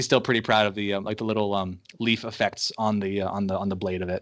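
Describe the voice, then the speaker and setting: In a Mid-Atlantic American accent, a man talks at a very fast pace and fairly low pitch with a monotone, flat intonation. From southeastern Pennsylvania. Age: 20s. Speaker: graphic designer. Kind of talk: casual interview. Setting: Skype call. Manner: halting, many fillers.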